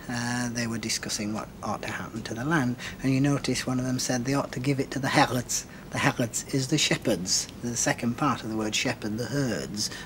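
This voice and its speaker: A man with a medium pitch speaks at a moderate pace with fairly even intonation against noticeable background noise. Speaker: linguist. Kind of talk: expert explanation in TV interview.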